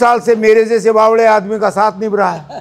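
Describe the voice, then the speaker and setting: A man speaks at a high pitch. Noticeable background noise can be heard. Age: 90s. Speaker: community association president. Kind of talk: birthday tribute speech.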